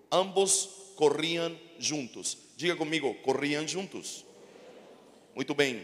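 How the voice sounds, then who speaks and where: Over noticeable background noise, a man with a fairly high voice speaks very slowly with fairly even intonation. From Chile. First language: Spanish (speaking Portuguese). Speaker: pastor. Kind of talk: sermon. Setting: church.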